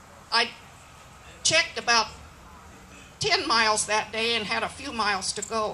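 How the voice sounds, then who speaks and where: Noticeable background noise runs under a woman's voice. She speaks at a fairly slow pace and a fairly high pitch. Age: 80s+. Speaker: cowboy poet. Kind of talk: poetry reading. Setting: live event.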